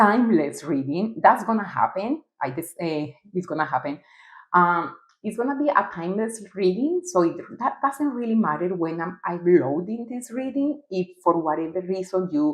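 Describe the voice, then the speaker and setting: Here a woman talks at medium pitch. Her pitch swings very widely. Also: moderate pace. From Costa Rica and Colombia. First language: Spanish. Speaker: tarot reader. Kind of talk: tarot reading monologue. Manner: halting.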